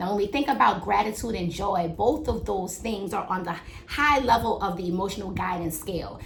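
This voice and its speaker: A woman with an American accent speaks with lively intonation amid noticeable background noise and audible room echo. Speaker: midwife and podcast host. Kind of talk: motivational podcast monologue. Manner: loud, energetic.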